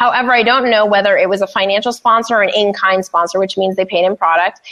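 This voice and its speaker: Over noticeable background noise, a woman with a medium pitch speaks very fast in an animated tone. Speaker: podcaster and podcast producer. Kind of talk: casual chat. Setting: studio.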